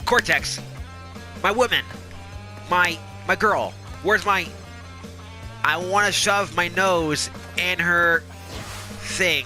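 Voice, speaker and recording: Over music in the background, a man speaks at a very slow pace with very even loudness and long, frequent pauses. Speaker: let's play gamer. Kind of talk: casual gameplay commentary. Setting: recorded off game console.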